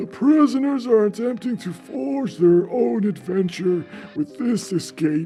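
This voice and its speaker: Over clear music in the background, a man does a put-on character voice at a high pitch and a fairly slow pace. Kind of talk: theatrical episode intro. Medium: actual play.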